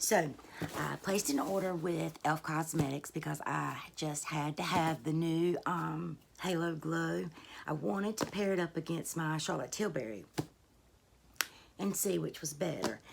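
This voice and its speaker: Vocal fry runs through this woman's very deep, low pitch. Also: ordinary pitch variation, fairly slow pace. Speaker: beauty YouTuber. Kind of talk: casual talk to camera.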